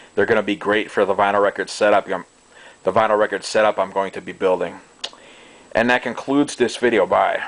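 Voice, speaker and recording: Noticeable background noise runs throughout. Over it, a man keeps a fairly quick pace. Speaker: hobbyist video maker. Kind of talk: product show-and-tell. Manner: casual, hesitant with fillers; halting, self-correcting.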